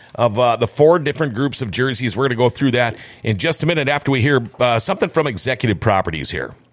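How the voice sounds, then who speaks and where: A man speaks in an ordinary speaking voice. He goes at a fairly quick pace with lively intonation. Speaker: radio host. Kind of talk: casual studio interview with ad reads. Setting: studio.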